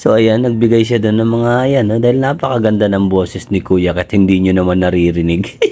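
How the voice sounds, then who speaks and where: A man's fairly low voice with very even loudness and hardly any pauses. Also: ordinary pitch variation, fairly quick pace. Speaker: travel vlogger. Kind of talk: vlog narration. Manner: soft-spoken; playful.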